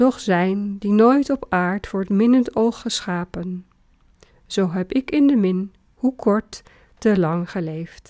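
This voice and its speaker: On a very clean recording with a silent background and a dry, close sound with no echo, a woman speaks very slowly at a medium pitch with ordinary pitch variation and a dark, mellow tone. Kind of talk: poetry reading.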